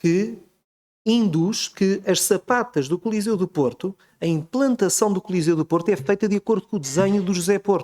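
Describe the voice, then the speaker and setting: A man with a dark, mellow tone talks at a moderate pace in a dry, close sound with no echo. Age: 40s. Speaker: book author and architectural researcher. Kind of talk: book presentation talk. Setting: auditorium with audience.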